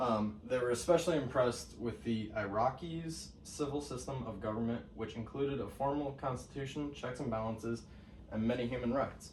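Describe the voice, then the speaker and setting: A man's voice, with ordinary pitch variation, comes through noticeable background noise and audible room echo. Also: medium pitch for a man, moderate pace. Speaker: student. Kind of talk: class presentation. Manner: halting, many fillers.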